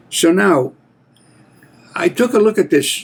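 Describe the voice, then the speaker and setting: A man speaks with an American accent. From Pennsylvania, USA. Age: 80s+. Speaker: Marine veteran. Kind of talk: casual talk to camera.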